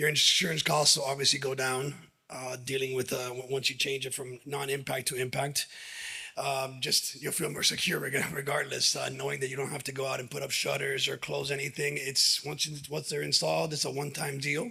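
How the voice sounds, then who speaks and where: A man's moderately paced speech, with fairly even intonation, comes through noticeable background noise. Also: medium pitch for a man. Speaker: window manufacturer and dealer, presenter. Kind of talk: presentation to audience. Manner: halting, many fillers.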